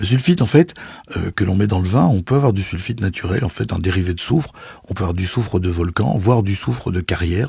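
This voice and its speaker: A man speaks at a very fast pace in a very deep, low pitch. His somewhat breathy voice has a dark, mellow tone and lively intonation. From Belgium. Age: 50s. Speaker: sommelier. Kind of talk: podcast commentary. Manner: animated.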